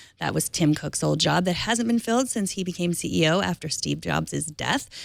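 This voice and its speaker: A woman's medium pitch at a fairly quick pace. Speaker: tech news host. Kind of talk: news reading. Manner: fast.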